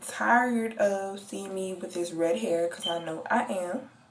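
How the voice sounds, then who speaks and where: A woman's medium-pitched voice, with normal pitch movement, goes at a moderate speed while noticeable background noise carries on. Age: young. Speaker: college student. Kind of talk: casual story time to camera.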